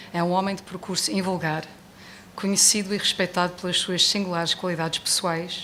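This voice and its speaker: With an English accent, a woman speaks fairly quickly in a fairly low pitch with fairly even intonation. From United States. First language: English (speaking Portuguese). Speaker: book presenter. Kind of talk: book launch speech read from notes. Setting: bookstore event with audience.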